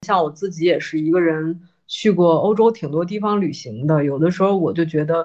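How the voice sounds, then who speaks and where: With an unremarkable speaking voice, a woman talks at a moderate pace and a fairly low pitch, with ordinary pitch variation. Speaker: podcast guest co-host. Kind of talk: casual chat.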